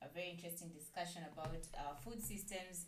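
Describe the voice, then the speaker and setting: A woman's voice sits at a fairly low pitch. Audible room echo and light background noise are present. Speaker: radio show host. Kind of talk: radio show host chat. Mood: warm, cheerful. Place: studio.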